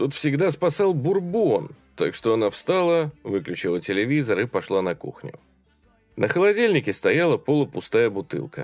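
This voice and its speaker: Music in the background behind very wide swings in pitch. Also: man. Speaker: audiobook narrator. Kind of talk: horror story audiobook reading.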